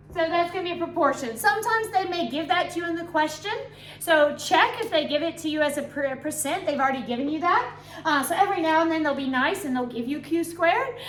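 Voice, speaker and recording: Speaking very fast with lively intonation, a woman uses an extremely high pitch while the room echo is audible. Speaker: biology teacher. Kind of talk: revision tutorial.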